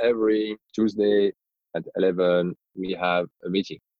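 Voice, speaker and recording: A man speaks with a strong French accent. His pitch is fairly low. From France. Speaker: business executive. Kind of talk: interview. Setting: remote call.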